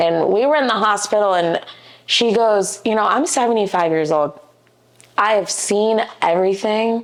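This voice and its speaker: A woman with a Midwestern American accent speaks at a medium pitch and moderate pace. Her loudness is very even, and her pitch varies in an ordinary way. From Ohio, US (Dayton area, Beavercreek). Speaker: commercial real estate agent. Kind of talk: podcast interview, personal storytelling.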